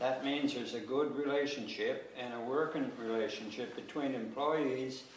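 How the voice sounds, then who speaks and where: Speaking at a fairly slow pace, a man of medium pitch keeps a fairly even intonation amid audible room echo and noticeable background noise. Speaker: local resident speaking at public consultation. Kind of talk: public meeting testimony. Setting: town hall public meeting. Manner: halting, repetitive.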